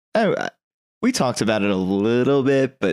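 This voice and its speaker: Using an unremarkable speaking voice, a man at medium pitch speaks with lively intonation. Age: 30s. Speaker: podcast co-host. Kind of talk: casual chat.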